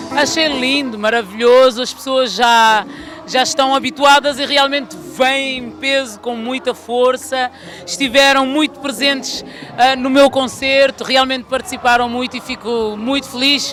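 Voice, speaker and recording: A fairly slow pace with noticeable background noise. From Portugal, Lisbon. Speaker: singer. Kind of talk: interview. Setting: music festival.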